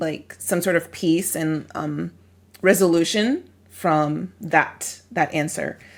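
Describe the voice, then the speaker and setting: A woman with an ordinary speaking voice, fairly low pitch and ordinary pitch variation is heard on a very clean recording with a silent background. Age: young. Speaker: podcast co-host. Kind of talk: casual conversation.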